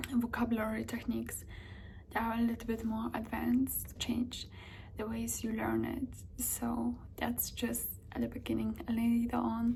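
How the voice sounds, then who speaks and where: A woman speaks with a non-native accent. Noticeable background noise runs behind her. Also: moderate pace. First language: not English or Spanish. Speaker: language-learning vlogger. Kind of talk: casual tutorial vlog. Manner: hesitant, many filler ums.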